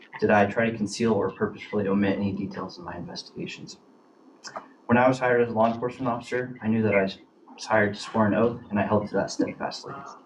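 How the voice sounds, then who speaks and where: Over noticeable background noise, a man with an American accent talks at a very fast pace, his medium pitch showing ordinary variation. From Oregon, US. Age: 30s. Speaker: police officer. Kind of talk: formal statement at a hearing. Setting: public committee meeting. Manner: formal.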